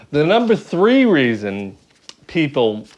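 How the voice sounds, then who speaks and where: A man with an ordinary speaking voice, ordinary pitch variation and a fairly slow pace. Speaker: YouTuber. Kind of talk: casual chat.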